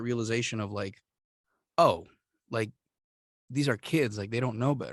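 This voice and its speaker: Recorded very cleanly against a silent background, dry and close with no echo, a man with a Puerto Rican accent speaks at a medium pitch with ordinary pitch variation. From Puerto Rico. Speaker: podcast host. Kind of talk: casual chat.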